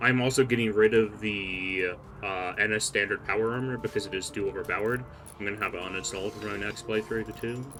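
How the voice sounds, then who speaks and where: Over music in the background, a man talks at a very fast pace with a fairly low pitch and fairly even intonation. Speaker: game streamer. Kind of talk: live gameplay commentary. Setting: live stream. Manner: casual, rambling.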